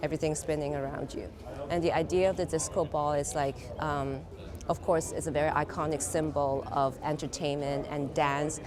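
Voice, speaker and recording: Over noticeable background noise, a woman speaks at a moderate pace with a very deep, low pitch and monotone, flat intonation. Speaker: artist. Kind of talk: interview. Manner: hesitant, filler-heavy.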